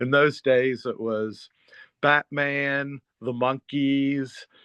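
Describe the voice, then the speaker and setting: A man's unremarkable speaking voice at medium pitch, with an American accent and ordinary pitch variation. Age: 60s. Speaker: therapist and author. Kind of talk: interview conversation.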